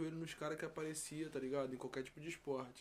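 The man talks fairly quickly, his intonation monotone and flat. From Rio de Janeiro, West Zone (Campo Grande). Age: 20s. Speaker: rapper. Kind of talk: casual chat.

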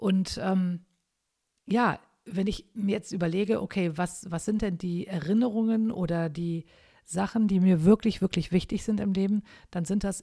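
On a very clean recording with a silent background, a woman speaks at a moderate pace and medium pitch, her tone dark and mellow, somewhat breathy, with fairly even intonation. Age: 50s. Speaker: podcaster. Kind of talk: solo podcast monologue. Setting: at home overlooking the garden. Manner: casual, with fillers.

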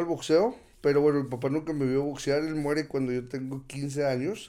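A man at a fairly quick pace. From Torreón, Coahuila, northern Mexico. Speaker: former professional boxer. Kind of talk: interview.

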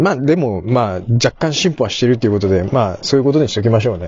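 A man talks at a very fast pace with lively intonation and a somewhat breathy sound. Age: middle-aged. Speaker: podcast host. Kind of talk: casual monologue. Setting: in a car.

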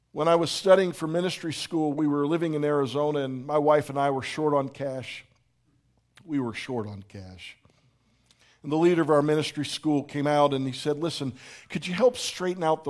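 Using an unremarkable speaking voice, a man with an American accent talks at a moderate pace and a fairly high pitch, with big swings in loudness. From Pittsburgh, US. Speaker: pastor. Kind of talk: sermon. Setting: church.

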